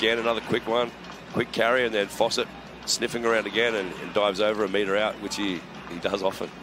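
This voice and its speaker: Music plays in the background as a man with a medium pitch talks at a very fast pace. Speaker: rugby color analyst. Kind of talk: live color commentary breaking down replays. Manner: rambling and enthusiastic, frequent fillers and restarts; coach-like explanatory tone.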